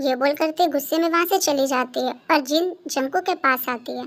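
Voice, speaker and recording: A high-pitched woman at a fairly quick pace, with ordinary pitch variation. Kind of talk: fan dub story narration. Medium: fan dub. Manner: casual, storytelling.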